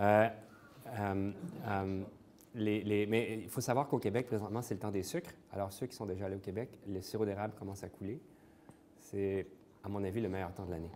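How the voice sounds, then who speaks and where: A man with a Quebec accent speaks at a moderate pace in a fairly low pitch, with a dark, mellow tone. His intonation stays fairly even, and he takes long, frequent pauses. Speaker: interventional cardiologist. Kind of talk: conference talk. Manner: hesitant, many fillers.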